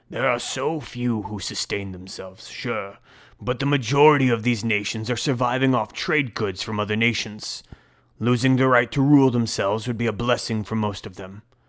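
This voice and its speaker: Putting on a gruff character voice, a man speaks at a medium pitch. His pace is moderate, with ordinary pitch variation. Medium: read story. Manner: gruff, blunt.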